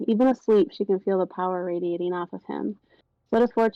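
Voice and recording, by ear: Reading aloud in a natural voice, with ordinary pitch variation against a quiet background.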